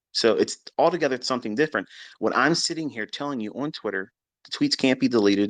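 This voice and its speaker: Against a quiet background with a dry, close sound and no echo, a man talks at a very fast pace with vocal fry and very wide pitch swings. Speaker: trading educator. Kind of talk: live audio chat. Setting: Twitter audio space.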